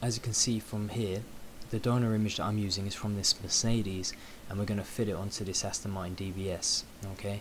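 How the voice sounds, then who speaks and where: A quiet, somewhat breathy man's voice with a British accent, fairly low and monotone, at a very fast pace. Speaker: photo editing tutorial creator. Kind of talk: tutorial. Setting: at home late at night.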